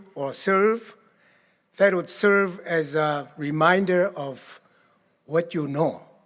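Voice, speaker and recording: A man with a Korean accent and a high pitch, at a very slow pace with ordinary pitch variation. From Korea, rural village. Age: 80s+. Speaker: keynote speaker. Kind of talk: keynote speech. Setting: gala stage with audience. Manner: halting.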